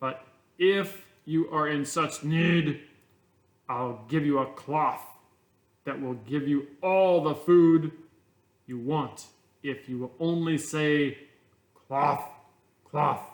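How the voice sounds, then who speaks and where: In a gruff, put-on character voice, a man speaks at a very slow pace with long, frequent pauses. His pitch is fairly high and his intonation fairly even. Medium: read story. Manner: blunt, gruff.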